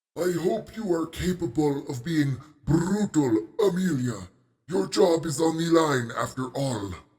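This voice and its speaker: In a put-on character voice, a man speaks at a fairly slow pace with lively intonation and a fairly high pitch. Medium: audio drama. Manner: formal, measured.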